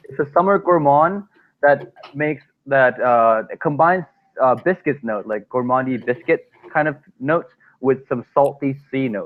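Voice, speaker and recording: With a non-native accent, the speaker talks at a fairly slow pace with ordinary pitch variation. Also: man. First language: not English. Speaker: fragrance reviewer. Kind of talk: casual chat.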